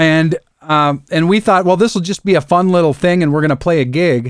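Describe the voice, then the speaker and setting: On a very clean recording with a silent background and a dry, close sound with no echo, an ordinary speaking voice with an American accent shows ordinary pitch variation. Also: man. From Michigan's Upper Peninsula. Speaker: songwriter. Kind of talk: casual interview.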